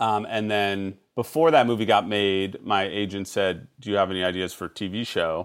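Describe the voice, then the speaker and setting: A man with an ordinary speaking voice talks at a moderate pace and fairly low pitch, with hardly any pauses. His pitch variation is ordinary. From Chicago. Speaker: TV writer and show creator. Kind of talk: casual chat.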